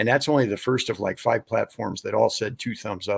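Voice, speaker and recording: Intonation remains fairly even for this man. He talks very fast. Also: dry, close sound with no echo. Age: 60s. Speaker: ministry founder and documentary maker. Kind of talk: interview. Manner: halting.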